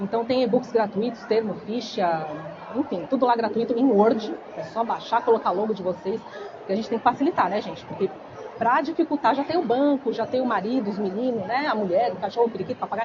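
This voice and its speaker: Over crowd noise in the background, the speech moves at a fairly quick pace with ordinary pitch variation. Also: woman, fairly high pitch for a woman. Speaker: biomedical aesthetics instructor. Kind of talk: lecture. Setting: stage with audience, microphone. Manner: soft-spoken; casual, chatty.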